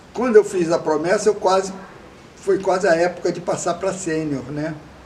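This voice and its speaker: Against noticeable background noise, a man speaks at a moderate pace with a high pitch. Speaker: veteran scout leader. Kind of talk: oral history interview. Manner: conversational, with hesitations.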